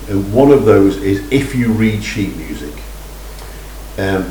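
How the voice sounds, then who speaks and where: A man with an English accent, against noticeable background noise. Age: 60s. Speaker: amateur fiddle learner vlogger. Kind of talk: casual vlog talk. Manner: halting.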